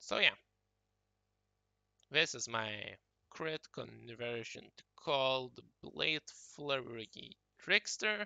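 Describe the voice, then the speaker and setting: A non-native accent at a very slow pace, with long, frequent pauses. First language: not English. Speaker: gaming YouTuber. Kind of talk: tutorial. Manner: casual, hesitant with fillers.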